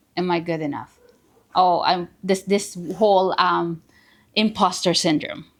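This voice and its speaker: Ordinary pitch variation with a Filipino accent. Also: woman. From Philippines, small town. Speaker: realtor. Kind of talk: podcast interview. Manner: halting.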